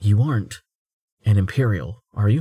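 A man puts on a character voice, quiet and fairly low in pitch. His pace is moderate. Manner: hushed, lowered voice.

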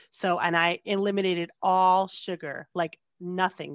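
A woman speaks with an American accent, the sound dry and close with no echo. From US Northeast, New Jersey. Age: 30s. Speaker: podcast guest sharing weight-loss story. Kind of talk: casual chat. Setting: video call.

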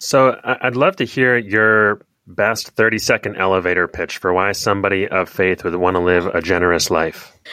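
The speaker has a bright, sharp tone and ordinary pitch variation, at a moderate pace with hardly any pauses. The sound is dry and close with no echo, over a quiet background. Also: man, fairly low pitch for a man. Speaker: podcast host. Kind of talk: interview.

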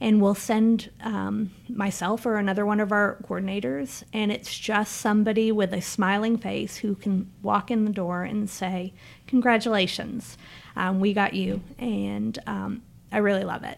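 A woman with an unremarkable speaking voice talks at a medium pitch. Her pace is fairly slow and her intonation fairly even. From Niagara Falls area Canada, then Memphis. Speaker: marketing director. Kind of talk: casual interview, promo talk.

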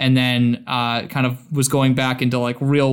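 A man at medium pitch and moderate pace, with monotone, flat intonation, on a very clean recording with a silent background. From Boston. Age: 20s. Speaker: content creator and gluten-free advocate. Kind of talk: casual interview.

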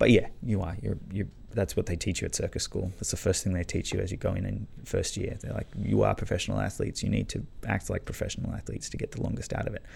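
The voice belongs to a man with an Australian accent. He talks at a very fast pace. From Australia, Canberra. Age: 30s. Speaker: circus acrobat and magician. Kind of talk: casual interview chat. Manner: halting, many fillers and restarts.

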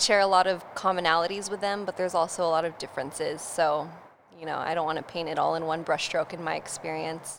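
A woman with an American accent talks at a very fast pace and fairly low pitch over noticeable background noise. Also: fairly even intonation. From US West Coast, North San Diego. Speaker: brand storyteller. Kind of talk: casual interview chat. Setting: studio.

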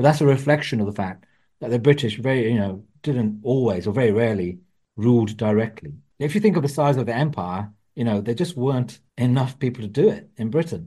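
A man talks with lively intonation and a dark, mellow tone. His voice is somewhat breathy. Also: medium pitch for a man, fairly quick pace. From England, Wolverhampton (West Midlands). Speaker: author and journalist. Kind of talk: interview.

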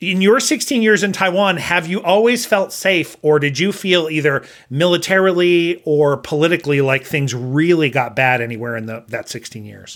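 A man speaks at a moderate pace in a plain, everyday voice, fairly high in pitch, with lively intonation, big swings in loudness and hardly any pauses. The recording is very clean, with a silent background. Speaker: podcast host and language teacher. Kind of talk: casual interview conversation.

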